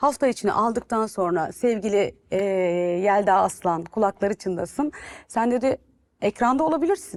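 Lively intonation marks this woman's speech at a moderate pace. The background is quiet. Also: fairly high pitch for a woman. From Turkey. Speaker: TV and radio presenter; radio presenter. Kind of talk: interview. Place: studio. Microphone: lapel.

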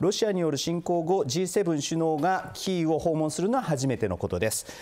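Pitched high, the man's voice carries his words. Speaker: TV news presenter. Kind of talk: news reading and interview questions. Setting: studio. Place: studio.

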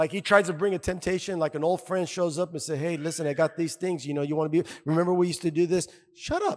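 Loud and animated, a man talks very fast in a high pitch over a quiet background. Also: hardly any pauses. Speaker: pastor. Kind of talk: sermon. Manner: animated, loud, call-and-response exhortation; fervent, punchy, repeating phrases. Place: church. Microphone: handheld.

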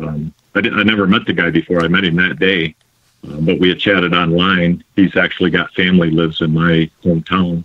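Speaking with an American accent, a man uses a very deep, low pitch. His pace is fairly quick and his intonation monotone and flat. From Michigan. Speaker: bow maker and metal detectorist. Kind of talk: casual interview. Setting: phone call.

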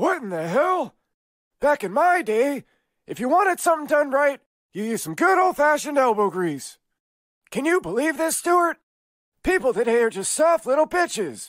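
In a cartoonish character voice pitched high, the speech runs at a moderate pace with long, frequent pauses. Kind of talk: cartoon comedy.

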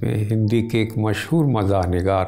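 A man with a fairly low pitch speaks at a very slow pace. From India, Uttar Pradesh (Azamgarh, Banaras); Uttar Pradesh. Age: old. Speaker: literary critic, professor; professor. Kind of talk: interview, reminiscence. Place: home room. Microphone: lapel.

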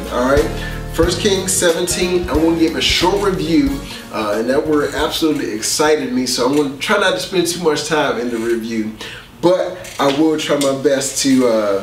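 Music plays in the background and the room echo is audible. A man talks at a moderate pace. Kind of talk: sermon. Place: studio.

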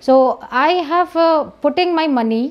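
A woman speaks with an Indian accent and ordinary pitch variation. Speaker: doctor, professor of pathology and farmer, protest speaker. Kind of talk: rally speech appealing to a crowd to join a protest. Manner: earnest, urgent, pleading; halting with fillers and repeated phrases. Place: home room. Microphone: lapel.

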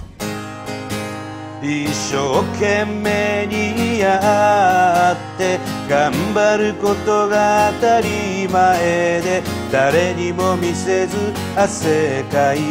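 Clear music plays behind a man who talks at a very slow pace. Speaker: comedian playing a street singer. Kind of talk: comedy sketch dialogue and singing. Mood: puzzled, comic muttering. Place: stage. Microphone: lapel.

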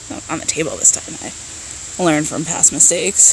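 Moderate pace, light background noise, and a dry sound with no echo. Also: woman. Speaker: beauty vlogger. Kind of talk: casual vlog chat. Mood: mildly frustrated, joking. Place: garden. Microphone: phone near.

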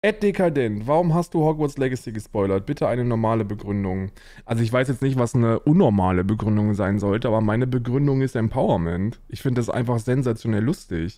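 Over a quiet background, a man with a dark, mellow tone talks at a very fast pace with hardly any pauses and lively intonation, in a dry sound with no echo. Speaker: livestreamer answering chat. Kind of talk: casual stream commentary. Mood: mocking, amused, opinionated. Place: home room.

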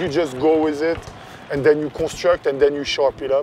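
At a moderate pace, a man speaks with light background noise and a dry sound with no echo. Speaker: court creator. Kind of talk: interview answer. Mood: relaxed, reflective. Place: street.

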